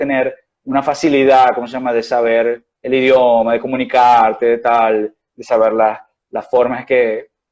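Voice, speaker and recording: A man speaks with a slight Venezuelan accent. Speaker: doctor. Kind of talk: interview. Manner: hesitant, many fillers.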